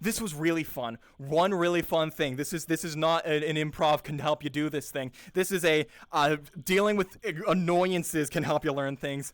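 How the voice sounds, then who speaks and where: A man's fairly high voice comes through at a moderate pace. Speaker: improv performer and workshop host. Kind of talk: casual talk. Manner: animated.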